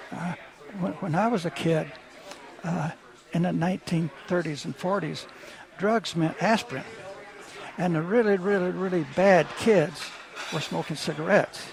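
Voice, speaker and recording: A high-pitched man with a Texan accent speaks at a moderate pace with ordinary pitch variation and long, frequent pauses, over noticeable background noise. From Texas. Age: 80s+. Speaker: author and art dealer. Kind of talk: radio interview. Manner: halting, with many repetitions.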